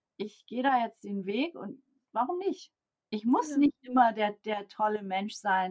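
An unremarkable speaking voice talks at a fairly slow pace. The intonation is lively. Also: woman, fairly high pitch for a woman. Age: 50s. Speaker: organizational development coach and consultant. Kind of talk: interview.

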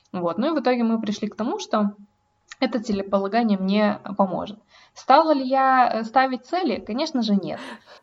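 A woman speaks in a normal speaking voice at a moderate pace, her fairly high pitch carried by lively intonation. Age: 20s. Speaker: podcast co-host. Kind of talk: casual chat.

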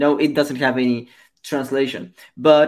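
A man with a Spanish accent speaks slowly, at a fairly high pitch. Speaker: podcast host. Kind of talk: interview. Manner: halting.

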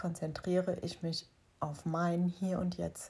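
A woman speaks at medium pitch in a somewhat breathy, dark, mellow tone with monotone, flat intonation. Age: 40s. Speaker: life coach and podcast host. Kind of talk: solo podcast monologue. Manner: hesitant fillers.

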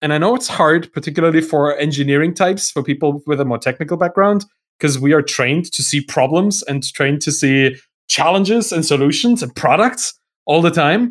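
With a German accent, a man talks at a fairly quick pace in a fairly high voice with lively intonation. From Germany. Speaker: software entrepreneur and writer. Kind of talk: podcast interview. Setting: remote call.

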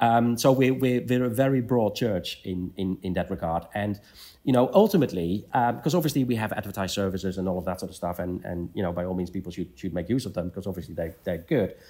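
In a Dutch accent, a man with a dark, mellow tone and a fairly low pitch with ordinary pitch variation talks at a very fast pace with hardly any pauses, on a very clean recording with a silent background. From Netherlands. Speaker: CEO of an engineering membership organization. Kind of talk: interview. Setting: at a conference venue. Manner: halting, many repetitions.

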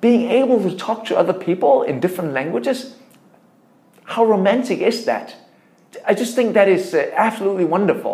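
Over noticeable background noise, a man with a Danish accent talks at a moderate pace with long, frequent pauses, a high pitch and ordinary pitch variation. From Denmark. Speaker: tech entrepreneur. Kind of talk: interview.

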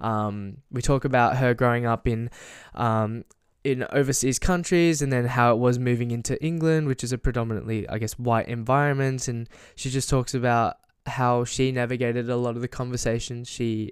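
An ordinary speaking voice talks at a moderate pace. The recording is very clean with a silent background. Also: man. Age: 20s. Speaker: podcast host. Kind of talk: casual interview.

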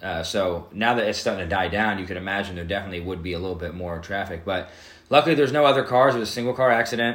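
Amid audible room echo, a man talks at a very fast pace in a fairly low pitch with ordinary pitch variation. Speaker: podcast host. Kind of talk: casual podcast chat.

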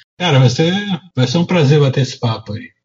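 Somewhat breathy and fairly high-pitched, a man speaks with lively intonation. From Rio de Janeiro, Brazil. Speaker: comic artist and illustrator. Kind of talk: casual chat.

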